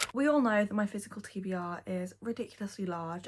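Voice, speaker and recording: The woman's voice is somewhat breathy. Her intonation stays fairly even. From North Yorkshire, England. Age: 20s. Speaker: book YouTuber. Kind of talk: casual talk to camera.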